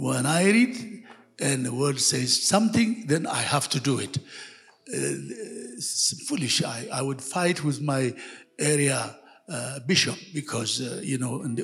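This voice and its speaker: Noticeable background noise sits behind a man talking at a fairly slow pace with a fairly high pitch. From western Ethiopia. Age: 70s. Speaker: church elder. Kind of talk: testimony. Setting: church service with congregation.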